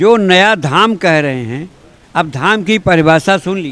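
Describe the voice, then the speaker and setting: A man's raised, projected voice with very wide pitch swings over noticeable background noise. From Varanasi, India. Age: 80s+. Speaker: activist. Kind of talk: press interview. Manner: animated.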